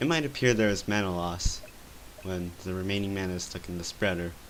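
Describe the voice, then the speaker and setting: Man's very deep, low voice at a fairly quick pace. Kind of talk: game tutorial narration. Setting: poor microphone, noisy house.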